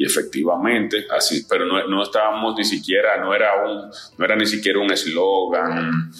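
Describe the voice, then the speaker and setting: A man speaks at a fairly low pitch. Audible room echo and noticeable background noise surround him. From Dominican Republic. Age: 30s. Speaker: advertising agency founder. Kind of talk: interview. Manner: halting, many fillers.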